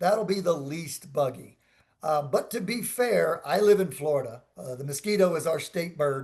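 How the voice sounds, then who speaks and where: The speaker is a man. He keeps a moderate pace, and his pitch moves in an ordinary way. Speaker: resort sales representative. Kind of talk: Q&A in a virtual seminar. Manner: loud.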